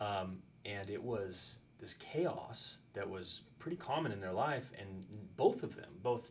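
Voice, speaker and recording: With lively intonation and a medium pitch, a man speaks in a room with audible echo. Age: 40s. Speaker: high school teacher. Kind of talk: casual chat.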